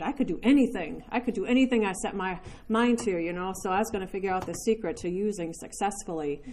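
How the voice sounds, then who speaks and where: A woman speaks at a very fast pace in a dark, mellow tone. Her pitch variation is ordinary. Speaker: recovery speaker sharing her story. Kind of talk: testimony. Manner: fast at the beginning.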